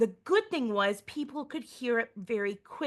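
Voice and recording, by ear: Reading aloud naturally, with lively intonation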